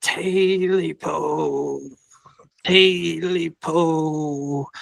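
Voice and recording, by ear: A fairly high-pitched put-on character voice from a man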